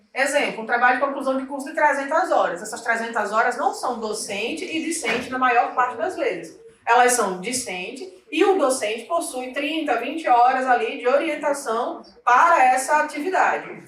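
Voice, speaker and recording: Against noticeable background noise and audible room echo, a woman speaks at a moderate pace and a high pitch with lively intonation and hardly any pauses. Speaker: university systems trainer. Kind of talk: training session.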